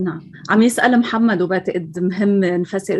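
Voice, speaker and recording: Against a quiet background, a woman with an ordinary speaking voice talks at medium pitch with fairly even intonation. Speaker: moderator. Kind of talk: panel moderation. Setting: video call.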